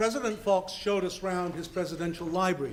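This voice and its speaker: A high-pitched man talks at a moderate pace, his pitch showing ordinary variation, while noticeable background noise plays behind him. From Scotland. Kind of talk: speech.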